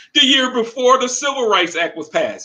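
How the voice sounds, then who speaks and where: In an American accent, a man uses a raised, projected voice with a bright, sharp tone. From Florida. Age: 50s. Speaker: pro athlete and author. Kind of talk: casual chat.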